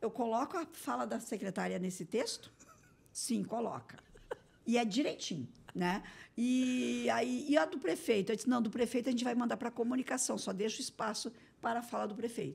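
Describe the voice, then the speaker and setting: A woman's voice carries vocal fry and lively intonation. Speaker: municipal innovation secretary. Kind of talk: interview. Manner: very fast; run-on, without pauses.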